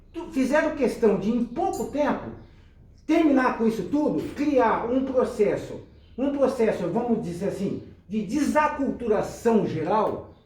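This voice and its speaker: A man speaks at an extremely high pitch with ordinary pitch variation, noticeable background noise and audible room echo. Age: 60s. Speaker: local historian, nostalgia show host. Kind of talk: casual group chat, reminiscing.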